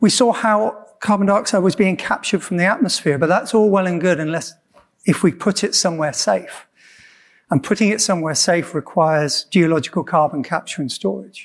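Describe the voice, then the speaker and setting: A man at a high pitch and fairly quick pace, with ordinary pitch variation, on a very clean recording with a silent background. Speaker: marine scientist. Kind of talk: panel presentation and discussion. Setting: conference stage with audience.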